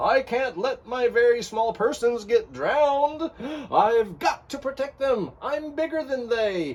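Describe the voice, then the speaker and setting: The pace here is fairly slow. A put-on character voice delivers it at a fairly high pitch. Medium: read story. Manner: earnest, sincere.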